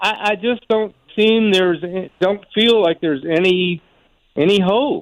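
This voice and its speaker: At a fairly slow pace, a man talks in a high pitch with ordinary pitch variation. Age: 70s. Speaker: caller. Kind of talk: phone call to sports talk show. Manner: halting, repeats words.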